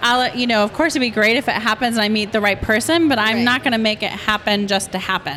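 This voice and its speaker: A woman with a fairly high pitch talks at a very fast pace with hardly any pauses, her loudness very even and her pitch variation ordinary, over noticeable background noise. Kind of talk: casual chat among friends.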